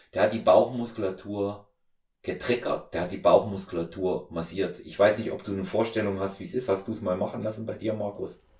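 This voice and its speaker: A man speaks at a fairly quick pace in a fairly low voice. His delivery is somewhat breathy. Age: 50s. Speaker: podcast host and strength coach. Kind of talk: casual interview, being interviewed.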